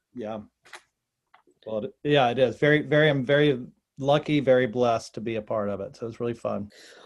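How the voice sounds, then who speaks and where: With a North Carolina accent, a man talks at a fairly quick pace in a medium pitch, showing ordinary pitch variation, big swings in loudness, and long, frequent pauses. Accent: North Carolina southern. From North Carolina (North Wilkesboro). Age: 70s. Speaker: actor and comedian. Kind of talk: casual interview chat.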